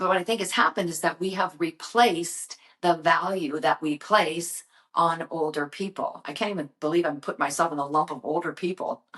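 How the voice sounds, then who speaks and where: A woman with an ordinary speaking voice, fairly low in pitch, at a fairly quick pace. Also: ordinary pitch variation. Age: 60s. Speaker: brand creator and motivational vlogger. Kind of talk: motivational talk to camera. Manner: casual, conversational.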